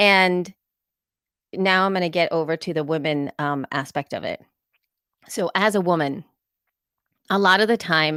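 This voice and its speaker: A woman with a bright, sharp tone speaks at a moderate pace, leaving long, frequent pauses. The recording is very clean, with a silent background. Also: fairly low pitch for a woman, ordinary pitch variation, dry, close sound with no echo. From El Salvador, moved to US as a child. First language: Spanish. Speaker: podcaster and conference speaker. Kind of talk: conference talk. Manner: conversational with frequent fillers.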